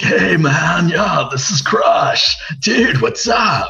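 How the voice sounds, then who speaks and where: Using a put-on character voice, a man speaks at a high pitch in a raised, projected voice. His pace is very slow. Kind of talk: casual, slangy.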